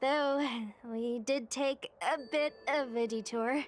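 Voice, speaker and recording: A woman's high-pitched put-on character voice at a very slow pace. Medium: video game. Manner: casual, chatty.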